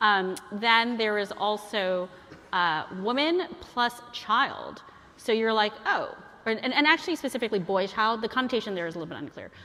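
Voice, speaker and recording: Over noticeable background noise, a woman with a fairly high voice speaks at a moderate pace with lively intonation. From Chinese heritage, bilingual upbringing. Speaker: guest lecturer. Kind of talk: lecture. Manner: casual, filler-heavy.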